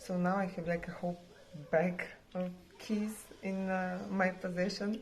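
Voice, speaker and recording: A woman speaks quietly and fairly slowly at a fairly low pitch, her intonation monotone and flat. Noticeable background noise runs underneath. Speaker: vlogger. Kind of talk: casual vlog talk.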